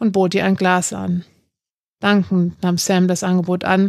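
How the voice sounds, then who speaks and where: Her pace is moderate as this woman speaks at a medium pitch. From northern Germany, Hamburg. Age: 30s. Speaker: author. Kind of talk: reading aloud. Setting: hotel room.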